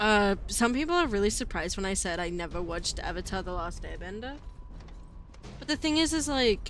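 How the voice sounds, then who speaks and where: Amid audible room echo, a woman talks at a fairly quick pace with very wide pitch swings. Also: fairly high pitch for a woman. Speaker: video game streamer. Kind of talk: live gaming stream chat. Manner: casual, halting.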